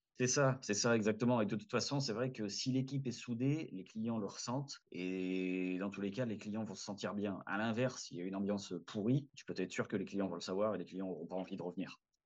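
A man speaks in a plain, everyday voice. His pitch is fairly low and his pace fairly quick. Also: ordinary pitch variation, hardly any pauses, quiet background. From southern France (Valence). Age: 30s. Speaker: restaurant team leader and rideshare driver. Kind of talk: casual interview.

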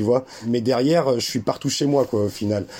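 A man talks with ordinary pitch variation. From France, German mother and Algerian father. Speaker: 3D artist and documentary maker. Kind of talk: interview. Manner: halting, many repetitions.

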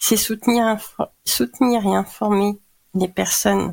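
Here a woman is speaking. It is a very clean recording with a silent background. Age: 40s. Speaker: cancer patient and patient advocate. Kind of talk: testimony. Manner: hesitant, many fillers.

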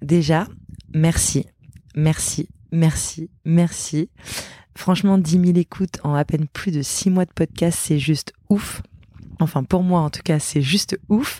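Speaking at a very slow pace with long, frequent pauses, a woman with a fairly low pitch and a somewhat breathy, dark, mellow tone keeps her intonation fairly even in a dry, close sound with no echo. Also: very clean recording, silent background. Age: 30s. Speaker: podcast host. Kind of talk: solo podcast monologue. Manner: hesitant, many fillers.

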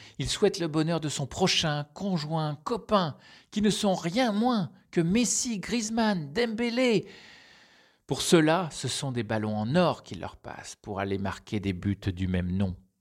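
Here a man speaks very slowly at a fairly high pitch with very wide pitch swings. The recording is very clean, with a silent background. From France. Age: middle-aged. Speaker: business team coach. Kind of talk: scripted narration.

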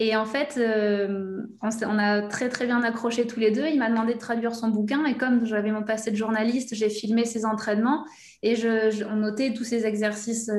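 Monotone, flat intonation with audible room echo. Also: woman, fairly high pitch for a woman, moderate pace. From southwest France (Aquitaine, between Bordeaux and the Basque Country). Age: 30s. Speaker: language coach for football players. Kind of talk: interview.

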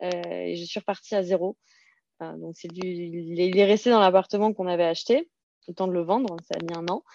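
Against a quiet background, a woman with a dark, mellow tone talks fairly quickly at medium pitch, her intonation fairly even but her loudness swinging widely, in a dry, close sound with no echo. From Alsace, France (Serbian-speaking immigrant family). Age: 30s. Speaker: blogger and property investor. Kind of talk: interview. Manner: halting, repeats words.

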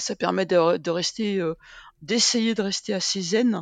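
A woman's medium-pitched voice over a quiet background. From Brittany, France. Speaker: sports medicine doctor and professor. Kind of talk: interview.

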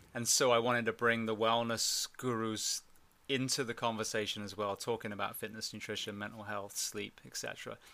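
In an English accent, a man speaks at a medium pitch and a fairly quick pace with monotone, flat intonation, on a very clean recording with a silent background. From England. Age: 40s. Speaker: former firefighter and podcast host. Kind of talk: interview conversation.

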